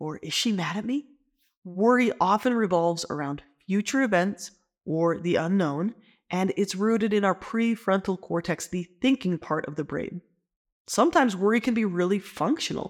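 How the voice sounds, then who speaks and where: A woman's medium-pitched, ordinary speaking voice, lively in intonation and moderate in pace, on a very clean recording with a silent background. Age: 30s. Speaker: licensed marriage and family therapist. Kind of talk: educational talk. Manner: conversational.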